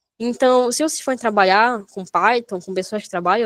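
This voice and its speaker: In a dry, close sound with no echo, a woman talks at a fairly quick pace, her fairly high pitch showing ordinary variation. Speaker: programming instructor. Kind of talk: online coding workshop lesson. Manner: fast; animated.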